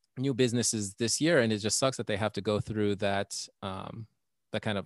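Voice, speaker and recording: A man's fairly low voice at a moderate pace, dry and close with no echo, on a very clean recording against a silent background. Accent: American. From Texas. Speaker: comedian and podcaster. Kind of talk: casual chat.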